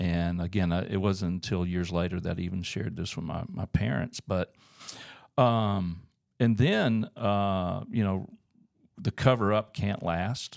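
A man with an Alabama accent speaks at a fairly slow pace. His voice sits fairly low, with ordinary pitch variation. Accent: Southern US (Alabama). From US South, Auburn, Alabama. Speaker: church staff leader, pastor. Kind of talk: testimony in casual interview. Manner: hesitant, many uh fillers.

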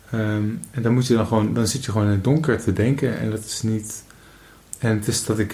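In a room with audible echo, a man with a fairly low pitch and a dark, mellow, somewhat breathy tone speaks at a fairly quick pace with fairly even intonation. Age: 20s. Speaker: podcast host. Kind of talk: casual chat. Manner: halting.

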